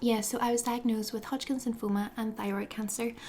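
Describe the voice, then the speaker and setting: A woman's fairly high voice with a Northern Irish accent. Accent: Northern Irish (Belfast). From Northern Ireland, Belfast. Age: 20s. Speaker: lifestyle blogger. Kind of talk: casual vlog talk to camera. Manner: animated.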